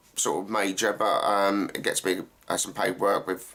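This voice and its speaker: A man speaks with an Essex accent. His pace is moderate. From England, Essex. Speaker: actor and gaming YouTuber. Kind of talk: Q&A vlog, casual talk to camera. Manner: hesitant, many fillers.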